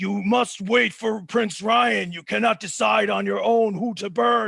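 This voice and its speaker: In a put-on character voice, a man talks at a fairly slow pace, raspy and high-pitched. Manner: commanding, stern.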